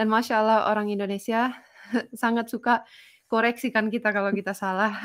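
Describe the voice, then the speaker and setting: Speaking at a fairly quick pace, a woman uses a fairly high pitch and a monotone, flat intonation. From Finland. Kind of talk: casual chat.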